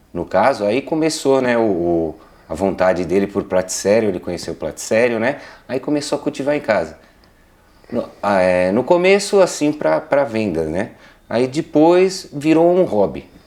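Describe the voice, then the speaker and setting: A man's medium-pitched voice at a moderate pace, with very wide swings in pitch. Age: 50s. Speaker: interviewee, son of a plant grower. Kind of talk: interview. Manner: halting.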